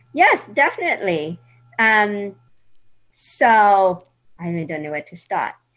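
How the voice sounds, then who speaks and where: With music in the background, a woman at a medium pitch talks at a fairly slow pace, using lively intonation, long, frequent pauses and big swings in loudness. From England. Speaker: patient advocate and conference organizer. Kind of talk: interview.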